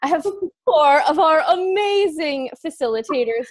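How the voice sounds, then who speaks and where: Against a quiet background, a woman's voice makes very wide pitch swings, with a dry sound and no echo. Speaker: call host, facilitator. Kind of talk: casual webinar intro chat. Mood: warm, enthusiastic.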